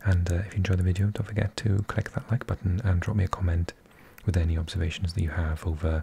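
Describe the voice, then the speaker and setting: A man's soft-spoken whispering at a very fast pace, dry and close with no echo. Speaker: ASMR football commentator. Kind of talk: ASMR season review. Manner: whispering, soft-spoken.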